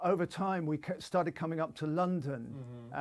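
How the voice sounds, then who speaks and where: In a southern English accent, a man speaks with a fairly high pitch. His intonation stays fairly even against a quiet background. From southern England (Portsmouth); southern England. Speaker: session bassist. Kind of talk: interview; interview answer. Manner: halting. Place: studio.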